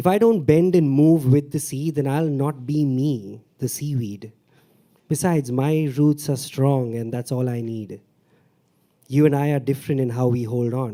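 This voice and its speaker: A man speaks in a Mumbai accent with a fairly high pitch. His tone is dark and mellow, with ordinary pitch variation. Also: moderate pace. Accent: South Bombay English. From India, South Bombay. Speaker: stand-up comedian and open mic performer. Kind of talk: open mic poetry performance. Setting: stage with audience.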